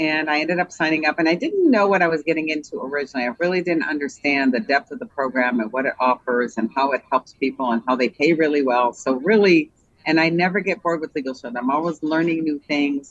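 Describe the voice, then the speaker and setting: With an American accent, the speaker goes at a very fast pace with hardly any pauses. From Israel. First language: Hebrew. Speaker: Hebrew teacher and legal plan sales rep. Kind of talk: interview chat.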